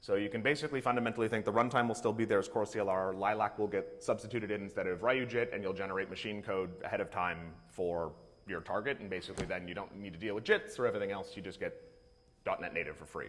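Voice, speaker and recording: The pitch rises and falls in an ordinary way. The pace is very fast. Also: man. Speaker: conference speaker, software developer. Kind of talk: conference talk.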